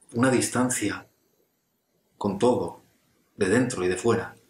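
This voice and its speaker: Room echo is audible as a man speaks in a somewhat breathy voice. His pace is fairly slow, with ordinary pitch variation. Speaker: actor in a monologue. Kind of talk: intimate scripted monologue to an absent friend. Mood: reflective, earnest, slightly hesitant. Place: home room. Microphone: webcam.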